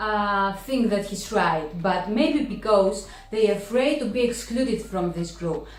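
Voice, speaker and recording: Music plays in the background as a woman with a Greek accent speaks at a medium pitch. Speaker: book vlogger. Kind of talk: casual talk to camera.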